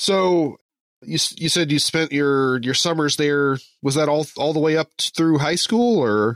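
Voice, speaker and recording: Speaking at a fairly slow pace with an American accent, a man with fairly high pitch and a normal speaking voice shows ordinary pitch variation and very even loudness, on a dry, close sound with no echo. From southern Indiana. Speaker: podcast host. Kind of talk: interview. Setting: remote call.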